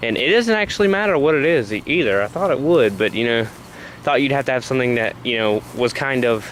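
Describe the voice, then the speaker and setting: Over noticeable background noise, a man with a Southern US accent talks very fast at a medium pitch, his voice swinging very widely up and down. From US South, South Carolina. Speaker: vlogger. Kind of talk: casual vlog monologue. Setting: outdoors, walking at night. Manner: hesitant, many fillers.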